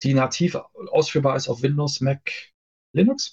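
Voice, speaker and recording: This man's voice is somewhat breathy and fairly high in pitch. His pitch varies in an ordinary way. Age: 40s. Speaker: software developer. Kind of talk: casual interview. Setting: live stream.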